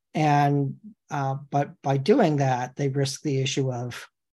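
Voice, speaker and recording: Against a quiet background, a man speaks in a somewhat breathy voice with monotone, flat intonation. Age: 40s. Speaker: attorney podcast host. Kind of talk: casual chat.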